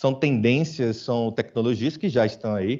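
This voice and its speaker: Speaking with a northeastern Brazilian accent, a man has a medium pitch, ordinary pitch variation and a moderate pace. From Brazilian Northeast, Aracaju (Sergipe). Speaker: business executive, conference speaker. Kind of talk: conference talk. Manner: informal, conversational.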